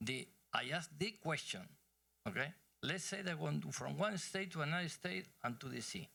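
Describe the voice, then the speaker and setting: A man with a Spanish accent, fairly high in pitch with very wide swings, bright and sharp in tone, with vocal fry, at a moderate pace. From Argentina. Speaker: energy executive. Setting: conference stage with audience.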